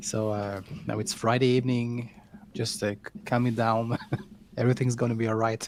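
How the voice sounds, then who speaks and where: A man with a French accent talks at a medium pitch in a monotone, flat intonation. His pace is fairly quick, broken by long, frequent pauses. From France. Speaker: vinyl collector streamer. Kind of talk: casual chat. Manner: halting.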